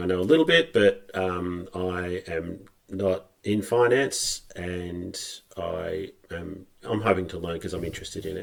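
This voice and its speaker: Relaxed tone from a man with an Australian accent, very deep and low in pitch, fairly even in intonation, with big swings in loudness. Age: middle-aged. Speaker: personal investor, video blogger. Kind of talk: casual talk to camera. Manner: relaxed, with fillers.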